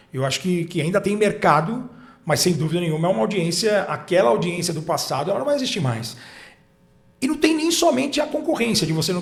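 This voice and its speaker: Music plays in the background as a man speaks at a very fast pace, high in pitch and with very wide pitch swings. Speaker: sports commentator and broadcaster. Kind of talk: interview answer.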